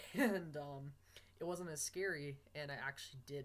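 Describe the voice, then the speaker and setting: Somewhat breathy male speech, fairly high-pitched. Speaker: vlogger documenting gender transition.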